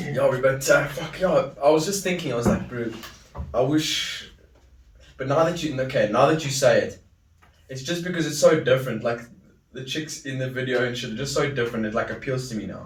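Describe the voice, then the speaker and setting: Amid noticeable background noise and audible room echo, a man at a fairly high pitch talks at a fairly quick pace, with ordinary pitch variation and big swings in loudness. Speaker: podcast host. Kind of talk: casual chat.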